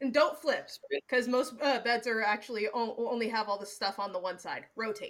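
Here a woman speaks with an American accent at a fairly high pitch. She has ordinary pitch variation and hardly any pauses. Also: moderate pace. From Seattle, Washington. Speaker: podcast co-host and editor. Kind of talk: casual chat. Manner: filler-heavy, lots of 'like' and laughing.

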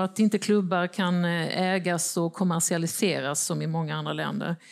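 Speaking at a very slow pace with ordinary pitch variation, a woman is heard on a very clean recording with a silent background. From Småland, Sweden (Växjö). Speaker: newspaper editor and panel moderator. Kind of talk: moderated panel discussion. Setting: stage with audience.

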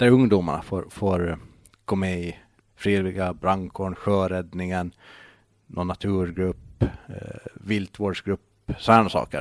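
In a very clean recording with a silent background, a man with a very deep, low pitch talks fairly slowly in a monotone, flat delivery broken by long, frequent pauses. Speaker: local politician and blogger. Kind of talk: casual chat.

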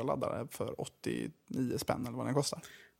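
Very clean recording, silent background, speech at a moderate pace. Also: man. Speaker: junior doctor and podcast editor. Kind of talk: casual chat.

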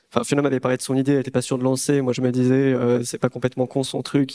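Monotone, flat intonation runs through this voice. The speaker is a man at a medium pitch. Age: 20s. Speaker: startup co-founder. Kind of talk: talk to an audience.

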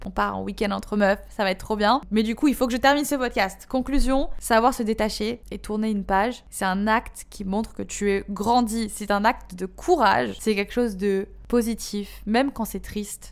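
An unremarkable speaking voice from a woman, fairly high in pitch, at a moderate pace with ordinary pitch variation and hardly any pauses. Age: 20s. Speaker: podcast host. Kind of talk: casual monologue.

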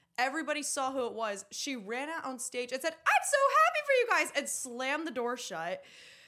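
Her voice raised and projected, a woman speaks at a moderate pace in a high pitch, with a bright, sharp, animated tone. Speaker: musical theatre actress. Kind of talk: casual chat.

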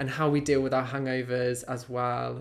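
At a moderate pace, a man talks in a medium pitch. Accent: British. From UK. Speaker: podcast co-host. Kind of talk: casual chat.

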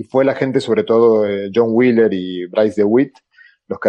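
Speaking in an Argentine accent, a man keeps a moderate pace and fairly even intonation. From Argentina. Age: 50s. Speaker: theoretical physicist and popular science author. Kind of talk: panel discussion.

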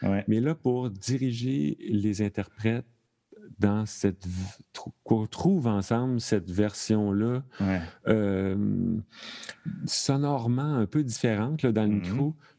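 In a Quebec accent, a man speaks very slowly with long, frequent pauses. His voice is fairly low, dark and mellow, with ordinary pitch variation. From Quebec, Thetford Mines. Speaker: sound designer and stage manager. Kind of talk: casual chat. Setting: video call.

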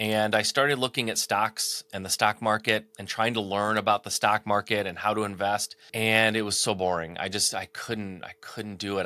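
In a very clean recording with a silent background and a dry, close sound with no echo, a man with a Midwestern American accent talks at a fairly quick pace in a bright, sharp tone. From Michigan, US Midwest. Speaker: entrepreneur and business coach. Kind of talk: interview.

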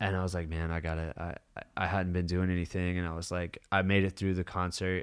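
Speaking fairly quickly in a very deep, low pitch, a man with an American accent keeps a monotone, flat intonation on a very clean recording with a silent background. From Kentucky, US. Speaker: sober living house manager in recovery. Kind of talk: casual chat.

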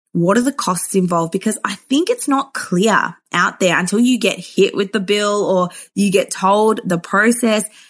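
Talking at a moderate pace with hardly any pauses, a woman with an Australian accent keeps a medium pitch, ordinary pitch variation and very even loudness. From Melbourne, Australia. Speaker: psychologist. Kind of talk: interview.

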